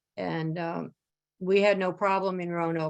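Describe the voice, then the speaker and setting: In a dry, close recording with no echo, a woman speaks at a moderate pace in a fairly low pitch with an American accent. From Schenectady, New York, US Northeast. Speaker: AA speaker. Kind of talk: recovery talk.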